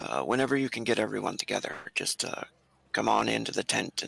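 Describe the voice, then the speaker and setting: Putting on a raspy character voice, a man speaks at a fairly quick pace with a very deep, low pitch and very wide pitch swings, the sound dry and close with no echo. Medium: actual play. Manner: hurried, eager, interrupting.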